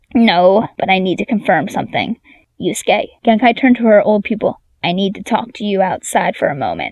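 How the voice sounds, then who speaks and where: A woman puts on a gruff character voice at a medium pitch. She talks at a fairly quick pace with ordinary pitch variation. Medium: read story. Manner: blunt, gruff.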